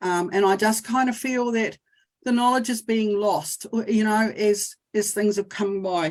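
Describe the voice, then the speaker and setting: A woman with a New Zealand accent, fairly high in pitch, at a fairly slow pace with fairly even intonation. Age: 60s. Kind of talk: testimony. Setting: video call. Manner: halting.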